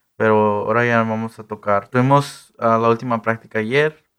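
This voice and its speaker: Against a quiet background, a man with an unremarkable speaking voice talks at a moderate pace, his fairly low pitch carried in a fairly even intonation. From Texas, Eagle Pass. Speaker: mariachi ensemble director. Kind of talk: radio interview.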